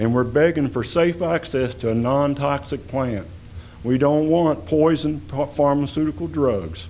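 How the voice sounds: A man talks at a fairly slow pace with ordinary pitch variation. His voice is fairly high and slightly mellow in tone.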